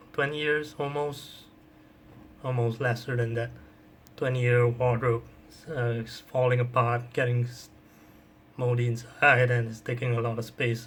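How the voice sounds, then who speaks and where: A man at medium pitch, somewhat breathy, with monotone, flat intonation, a fairly slow pace and long, frequent pauses. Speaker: gaming youtuber. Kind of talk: casual chat. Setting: home recording with webcam.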